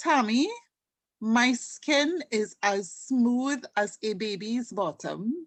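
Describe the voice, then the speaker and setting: Against a quiet background, a woman speaks at a very slow pace with a fairly high pitch and lively intonation. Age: 50s. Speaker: customer giving a product testimonial. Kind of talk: testimony. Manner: animated.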